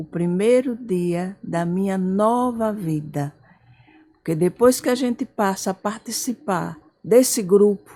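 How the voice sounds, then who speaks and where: A dark, mellow, somewhat breathy voice at a very slow pace with ordinary pitch variation. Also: woman. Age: 70s. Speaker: support group volunteer, mother. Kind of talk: testimony.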